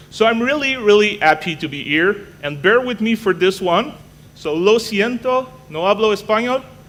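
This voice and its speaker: A man with a Quebec accent, noticeable background noise behind him. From Canada. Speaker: technology evangelist. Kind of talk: conference talk. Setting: stage with audience. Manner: fast; animated.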